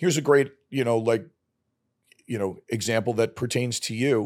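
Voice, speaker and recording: Speaking at a moderate pace, the man has a New York accent. His pitch sits in the medium range. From New York, Brooklyn. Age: 50s. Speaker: podcast guest, father of the host, former finance worker. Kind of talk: casual chat. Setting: studio.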